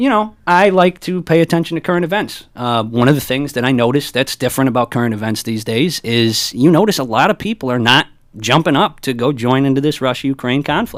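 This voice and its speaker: Speaking with an American accent, a man at medium pitch moves at a fairly quick pace with lively intonation and hardly any pauses. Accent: Italian American. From US, Italian American. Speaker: stand-up comedian. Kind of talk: casual chat; stand-up. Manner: loud; boisterous.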